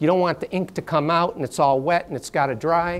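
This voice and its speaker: This man has a high pitch and speaks with a New York accent. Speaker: workshop presenter. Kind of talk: lecture. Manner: too quiet.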